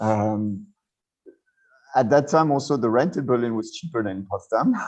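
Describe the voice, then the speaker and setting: A man speaks with a French accent at medium pitch. His pitch varies in an ordinary way. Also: moderate pace. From western France. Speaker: cultural anthropologist. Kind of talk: interview. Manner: halting.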